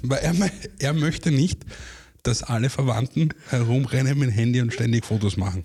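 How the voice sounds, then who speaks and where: A man speaks at a medium pitch and a moderate pace, with ordinary pitch variation. His tone is dark and mellow, somewhat breathy, and his loudness stays very even. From Austria, Vienna. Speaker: former TV and radio reporter, artist manager. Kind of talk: casual chat.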